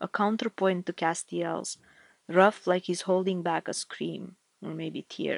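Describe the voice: Plain reading aloud with fairly even intonation plays against a quiet background.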